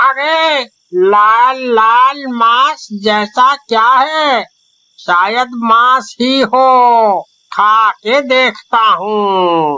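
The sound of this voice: A cartoonish character voice, fairly high in pitch, moves at a very slow pace.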